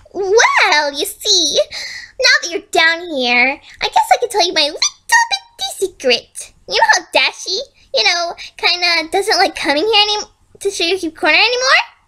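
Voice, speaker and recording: A woman's squeaky, put-on character voice at an extremely high pitch. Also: moderate pace. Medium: read story. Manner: falsely sweet, unsettling.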